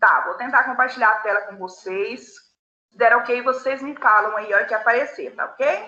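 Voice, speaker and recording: Bright and sharp in tone, a woman's high-pitched voice moves at a moderate pace. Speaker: philosophy teacher. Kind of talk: online class lecture.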